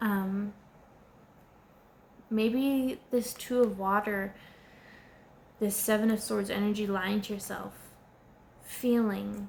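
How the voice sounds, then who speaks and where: A woman at a very slow pace, somewhat breathy. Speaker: tarot reader. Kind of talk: tarot card reading monologue. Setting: indoors at home, candles and air conditioner. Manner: halting, repeats words.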